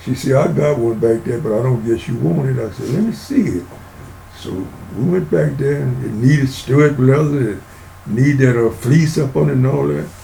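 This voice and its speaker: With audible room echo and noticeable background noise, a man with an American accent talks at a moderate pace with lively intonation. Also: medium pitch for a man. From Louisiana and Southeast Texas. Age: 90s. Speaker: retired ranch foreman. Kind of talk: interview storytelling. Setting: podcast recording. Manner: casual, folksy.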